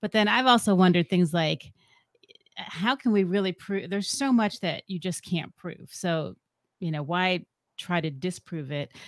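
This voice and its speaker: An unremarkable speaking voice at a moderate pace, with ordinary pitch variation, big swings in loudness and a dry, close sound with no echo. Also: woman, medium pitch for a woman. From US, partly raised in Ecuador. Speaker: podcast co-host, guest. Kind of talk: casual interview.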